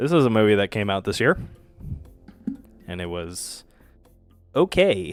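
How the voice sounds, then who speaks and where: Fairly low male voice with lively intonation at a moderate pace, broken by long, frequent pauses, with music in the background. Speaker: film reviewer streamer. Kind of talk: casual livestream commentary. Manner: hesitant, many fillers.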